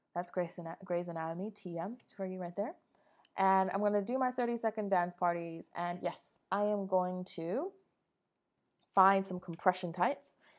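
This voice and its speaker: Against a quiet background, a woman talks at a moderate pace in a medium pitch. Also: fairly even intonation. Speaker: solo podcaster. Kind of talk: casual monologue.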